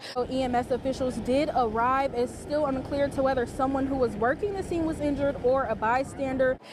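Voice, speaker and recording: A woman with an American accent, high-pitched and fairly quick, with fairly even intonation over noticeable background noise. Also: hardly any pauses. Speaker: TV news anchor and reporter. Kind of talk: live news field report.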